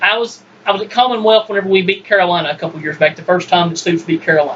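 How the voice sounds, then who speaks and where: Noticeable background noise sits behind this man. He talks at a very fast pace with lively intonation. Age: 20s. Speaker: sports podcast host. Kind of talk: casual sports debate. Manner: animated.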